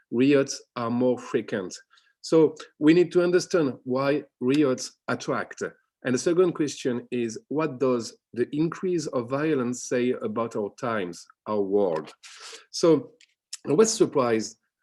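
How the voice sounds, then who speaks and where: The tone is dark and mellow, and the intonation is lively. The background is quiet. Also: man, medium pitch for a man. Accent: French. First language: French. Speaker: academic researcher. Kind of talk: conference talk. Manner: halting.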